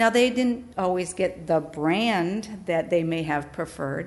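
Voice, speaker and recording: A woman with an American accent and a normal speaking voice talks at a fairly slow pace, her fairly low pitch showing ordinary variation. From Wisconsin. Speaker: pastor. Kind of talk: testimony.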